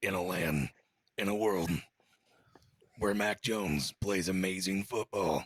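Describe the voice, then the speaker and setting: A man puts on a raspy character voice, very deep and low, with fairly even intonation. He speaks at a fairly slow pace with long, frequent pauses, the sound dry and close with no echo. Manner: epic, dramatic.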